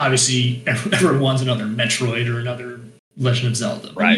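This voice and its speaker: A man talks at a fairly quick pace and medium pitch. He has a plain, everyday voice. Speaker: guest, games writer. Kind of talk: casual chat.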